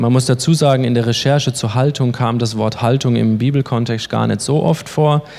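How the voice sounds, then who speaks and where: A man speaks in a plain, everyday voice at medium pitch and a moderate pace, with very even loudness and hardly any pauses. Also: fairly even intonation. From Baden-Württemberg, Germany (Baden-Baden). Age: 30s. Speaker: lay preacher and youth leader. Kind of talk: sermon.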